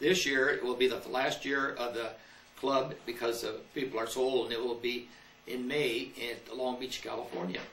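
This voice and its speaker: This man talks at a moderate pace and a medium pitch in an American accent, his intonation fairly even. Room echo is audible, and there is noticeable background noise. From US Midwest. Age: 80s+. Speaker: war veteran. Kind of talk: interview. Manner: halting.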